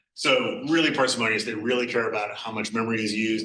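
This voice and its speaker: Audible room echo surrounds a man speaking fairly quickly. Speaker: guest lecturer, systems researcher. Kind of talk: lecture. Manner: quiet; casual, conversational.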